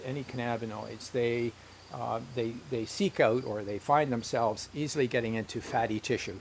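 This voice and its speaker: Noticeable background noise sits behind a man's medium-pitched voice. He speaks at a moderate pace with ordinary pitch variation. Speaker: health educator. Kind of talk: educational talk. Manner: halting, many fillers.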